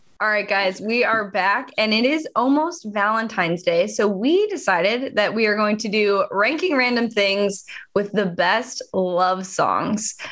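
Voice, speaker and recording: A woman speaks in an unremarkable speaking voice, fairly high in pitch, with very even loudness and ordinary pitch variation. Her pace is fairly slow, and she hardly pauses. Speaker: podcast co-host. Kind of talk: casual chat.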